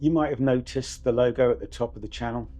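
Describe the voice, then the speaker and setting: Music plays behind a man with a British accent who speaks at a medium pitch with ordinary pitch variation. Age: 60s. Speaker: fitness vlogger, retired paramedic. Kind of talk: personal vlog monologue.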